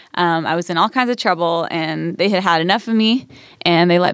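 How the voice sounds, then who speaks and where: Talking at a fairly quick pace, a woman with an unremarkable speaking voice keeps a fairly low pitch and fairly even intonation. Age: 30s. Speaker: singer-songwriter. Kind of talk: casual chat. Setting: studio.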